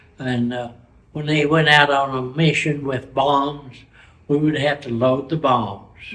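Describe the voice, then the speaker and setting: With an American accent, a man speaks at a fairly high pitch in a somewhat breathy voice with fairly even intonation. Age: 80s+. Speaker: war veteran. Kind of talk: interview answer.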